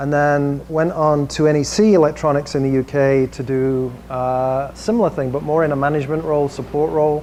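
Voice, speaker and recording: Against noticeable background noise, the speech goes at a moderate pace with fairly even intonation. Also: man. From England, Manchester. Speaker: tech industry executive presenting. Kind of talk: presentation to a small audience. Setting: room with audience and screen. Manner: casual with frequent fillers.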